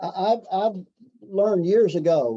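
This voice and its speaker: This man's voice has a dark, mellow tone. His pitch sits high. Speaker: fundraising consultant and trainer. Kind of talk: training session. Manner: fast; halting, many fillers and repetitions.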